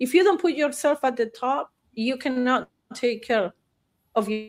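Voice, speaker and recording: This woman talks at a fairly slow pace in a Spanish accent. Her voice is high-pitched, with lively intonation. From Argentina, Buenos Aires. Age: 60s. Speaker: therapist. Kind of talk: interview chat.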